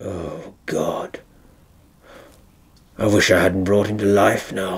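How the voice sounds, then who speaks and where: Raspy and very deep, with a very low pitch, a man speaks at a very slow pace. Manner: sardonic, theatrical, mocking.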